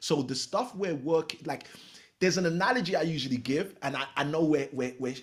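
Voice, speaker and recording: A man with a British accent speaks at a fairly quick pace with a fairly high pitch, lively intonation, an animated tone and a somewhat breathy quality. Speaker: real estate coach. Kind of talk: podcast interview.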